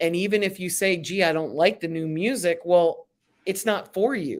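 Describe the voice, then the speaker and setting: An unremarkable speaking voice from a woman with an American accent, fairly low in pitch and fairly even in intonation. She talks at a fairly slow pace on a very clean recording with a silent background. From Philadelphia, US. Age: 60s. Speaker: music business consultant. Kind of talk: interview.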